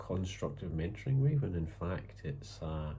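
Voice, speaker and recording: A man talks at a fairly slow pace with a very deep, low pitch. Vocal fry runs through his voice. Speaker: writer. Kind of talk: casual talk to camera. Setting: home, background noise. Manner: hesitant, thoughtful.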